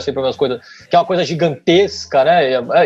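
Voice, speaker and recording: With music in the background, a man in a São Paulo accent speaks at a fairly high pitch, his pitch swinging very widely. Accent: paulista. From São Paulo state, São Bernardo do Campo. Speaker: history graduate and content creator. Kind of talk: casual interview.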